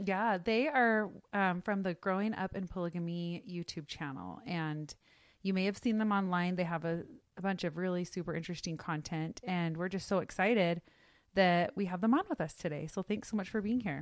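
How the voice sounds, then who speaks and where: With an American accent, a woman speaks at a moderate pace and a medium pitch in an unremarkable speaking voice, with ordinary pitch variation, on a very clean recording with a silent background. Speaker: podcast host. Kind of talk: casual conversation.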